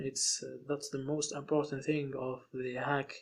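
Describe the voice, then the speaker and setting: A man with a non-native accent, fairly high-pitched, speaking at a fairly slow pace in a flat, monotone delivery. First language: not English. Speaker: ethical hacking instructor. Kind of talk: tutorial. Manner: halting.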